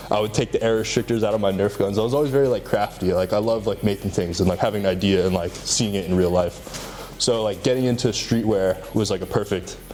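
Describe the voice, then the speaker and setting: A man with an American accent talks at a very fast pace, with fairly even intonation and very even loudness, while music plays in the background. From Hawaii. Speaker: fashion designer. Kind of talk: interview. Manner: casual, filler-heavy.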